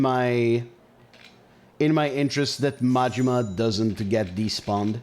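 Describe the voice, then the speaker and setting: A man at a medium pitch and fairly slow pace, lively intonation, music in the background. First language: Hebrew. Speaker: gaming streamer. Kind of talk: live gameplay commentary with chat. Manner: casual, conversational.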